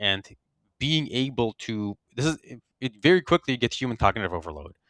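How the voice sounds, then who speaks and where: A man speaks at a moderate pace with a bright, sharp tone and ordinary pitch variation, recorded very cleanly against a silent background with a dry, close sound and no echo. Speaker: software security researcher. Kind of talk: interview. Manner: halting, self-correcting.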